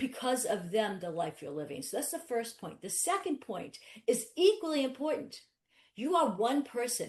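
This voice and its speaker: Woman's voice at a moderate pace with very wide pitch swings. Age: 60s. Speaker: attorney. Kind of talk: webinar interview. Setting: webinar. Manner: animated.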